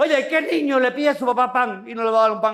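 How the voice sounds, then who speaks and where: An animated man speaks with ordinary pitch variation amid audible room echo. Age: 60s. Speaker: pastor. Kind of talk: sermon.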